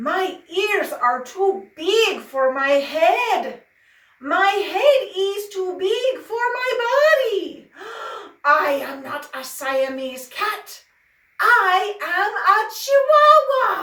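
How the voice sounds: Using a put-on character voice, a woman speaks very slowly in an extremely high, raised and projected voice with very wide pitch swings and a slight echo. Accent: Spanish.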